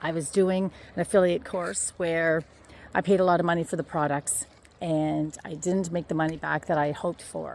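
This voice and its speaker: In a Canadian accent, a woman with a normal speaking voice talks at a moderate pace and fairly low pitch, on a very clean recording with a silent background. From Ontario, Canada. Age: 60s. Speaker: vlogger promoting online courses. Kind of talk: casual walking vlog. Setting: outdoors on a walk.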